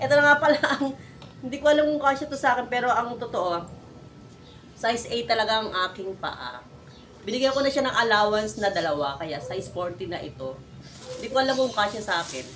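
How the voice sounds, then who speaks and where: A woman with a fairly high pitch talks at a very fast pace in an animated tone, with very wide pitch swings. Room echo is audible. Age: old. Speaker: vlogger. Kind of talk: unboxing vlog. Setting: at home.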